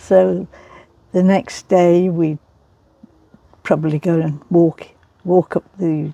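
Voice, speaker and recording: A woman with an East Midlands accent and a fairly low pitch, very slow pace with long, frequent pauses, fairly even intonation, dark, mellow tone, and a dry, close sound with no echo. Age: 80s+. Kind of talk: interview answer.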